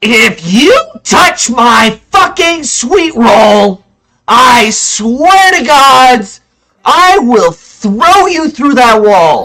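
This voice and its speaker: In a put-on character voice, the speaker booms loudly at a very slow pace, with fairly high pitch and a menacing tone. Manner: menacing, shouting.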